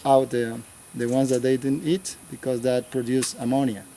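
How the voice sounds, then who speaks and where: A man talks against noticeable background noise. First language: Spanish. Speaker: local church worker and farmer. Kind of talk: guided tour explanation. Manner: halting.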